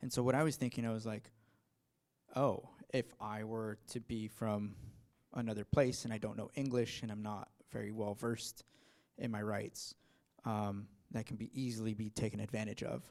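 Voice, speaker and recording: Pausing long and often, a man speaks at a medium pitch and moderate pace in a monotone, flat delivery. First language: not English. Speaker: audience member asking a question. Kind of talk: workshop Q&A. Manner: halting, hesitant.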